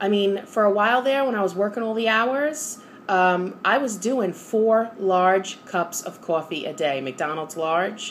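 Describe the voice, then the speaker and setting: A woman with a New York accent speaks at a medium pitch and a fairly slow pace. Her intonation is lively. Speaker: vlogger. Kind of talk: casual vlog monologue. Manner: animated.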